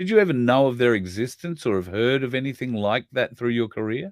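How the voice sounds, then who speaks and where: Quick-paced and lively in intonation, a man with an Australian accent talks at a medium pitch. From Queensland, Australia. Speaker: online show host. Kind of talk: interview. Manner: hesitant, many fillers.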